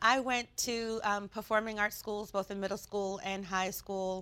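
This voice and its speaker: Recorded very cleanly against a silent background, a woman speaks at a fairly high pitch with a bright, sharp tone. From Prince George's County, Maryland. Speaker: university staff organization president. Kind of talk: interview. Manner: hesitant, many fillers.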